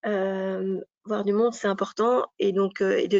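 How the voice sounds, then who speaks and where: Her voice sits at a medium pitch. The woman keeps her intonation fairly even. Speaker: business advisor presenting an information session. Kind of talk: information session presentation.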